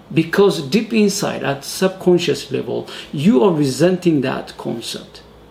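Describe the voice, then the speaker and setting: Noticeable background noise sits behind a man whose high-pitched voice has lively intonation at a fairly slow pace. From Ethiopia. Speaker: motivational speaker. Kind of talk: motivational talk. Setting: solo video recording.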